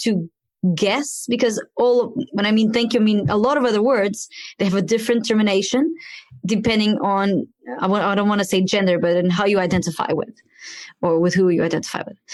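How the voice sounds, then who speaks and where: A woman's fairly high voice with a Portuguese accent, a fairly quick pace and ordinary pitch variation. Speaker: podcast host. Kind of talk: interview podcast.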